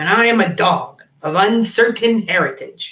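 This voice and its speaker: A man puts on a character voice, pitched high and delivered at a moderate speed. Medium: read story. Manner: deadpan, dry.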